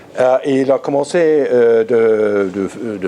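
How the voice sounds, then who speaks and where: Against noticeable background noise, a man with an English accent speaks at a very slow pace with ordinary pitch variation. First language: English (speaking French). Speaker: art historian, lecturer. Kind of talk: lecture. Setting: conference room with audience. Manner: halting, frequent repetitions.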